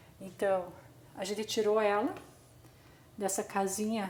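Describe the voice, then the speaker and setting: Speaking with a Brazilian accent, a woman uses a fairly high pitch. Her tone is dark and mellow. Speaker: gardening youtuber. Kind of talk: tutorial. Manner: slow.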